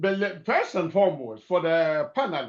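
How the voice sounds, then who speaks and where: A man speaks loudly. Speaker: keynote speaker, clergyman. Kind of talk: webinar keynote address.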